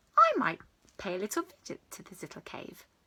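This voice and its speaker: At a fairly quick pace, a woman performs a put-on character voice at a medium pitch. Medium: read story. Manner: bright, excited.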